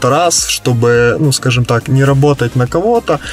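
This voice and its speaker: Faint music plays behind a man speaking at a moderate pace. The sound is dry with no echo. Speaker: interviewee. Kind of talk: interview answer. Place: car. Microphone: camera far.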